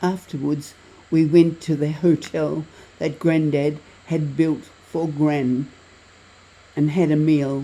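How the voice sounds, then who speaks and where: A woman speaks at a very slow pace in a very deep, low pitch, her tone dark and mellow. Her intonation stays flat and monotone, broken by long, frequent pauses. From Tasmania, Australia. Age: 80s+. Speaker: travel vlogger. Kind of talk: travel vlog narration.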